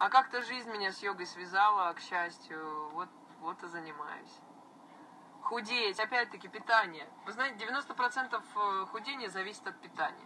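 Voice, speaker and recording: The speech moves at a fairly slow pace with long, frequent pauses and big swings in loudness, over light background noise. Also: woman. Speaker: blogger. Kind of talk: casual live stream chat answering viewers. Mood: relaxed, friendly. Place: car. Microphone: phone near.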